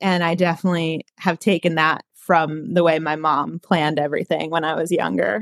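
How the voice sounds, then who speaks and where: A woman with an ordinary speaking voice talks at a moderate pace with hardly any pauses, her fairly low pitch held in fairly even intonation, in a dry, close sound with no echo. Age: 20s. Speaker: recent college graduate with food allergies. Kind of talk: casual interview.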